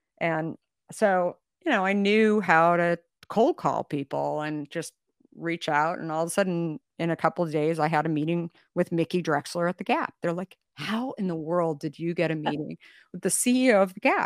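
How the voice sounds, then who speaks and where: A normal speaking voice with an American accent at a moderate pace and ordinary pitch variation, on a very clean recording with a silent background and a dry, close sound with no echo. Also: woman, fairly low pitch for a woman. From Arizona. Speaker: company founder and CEO. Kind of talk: interview storytelling.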